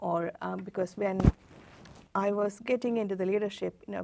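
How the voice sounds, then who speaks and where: Here is a woman speaking with a non-native accent. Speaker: tech executive. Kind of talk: interview. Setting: studio. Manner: halting.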